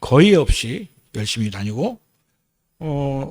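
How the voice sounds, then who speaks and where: A man's voice with very wide pitch swings and a dry, close sound with no echo. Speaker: lay preacher, retired surgeon. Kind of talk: sermon. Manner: halting, with filler sounds.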